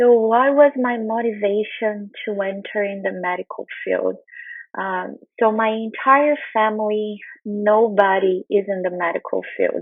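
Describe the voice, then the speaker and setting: At a fairly slow pace, a woman with a Brazilian Portuguese accent speaks at a fairly high pitch with ordinary pitch variation. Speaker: nutrition researcher. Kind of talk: conference talk.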